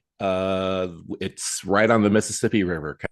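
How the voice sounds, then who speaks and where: A man speaks at a moderate pace with a very deep, low pitch. The background is quiet. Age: 60s. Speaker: children's book author. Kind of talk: interview. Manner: halting, many fillers.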